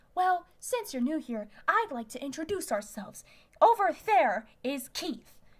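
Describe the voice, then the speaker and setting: A woman's put-on character voice, high-pitched, with very wide pitch swings, big swings in loudness and a moderate pace. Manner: yelling.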